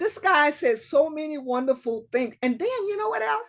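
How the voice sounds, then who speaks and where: High-pitched female speech, with pitch swinging very widely. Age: 70s. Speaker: retired Air Force veteran and public-speaking club leader. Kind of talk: casual interview.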